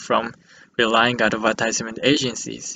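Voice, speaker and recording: A man talks with a Japanese accent. His pace is moderate. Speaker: student. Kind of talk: class presentation.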